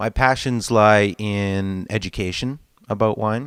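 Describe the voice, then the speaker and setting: With a very clean recording, a silent background and a dry, close sound with no echo, a man speaks in a fairly low voice with ordinary pitch variation. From Saskatchewan, Canada. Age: 20s. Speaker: musician and restaurant consultant. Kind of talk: interview self-introduction.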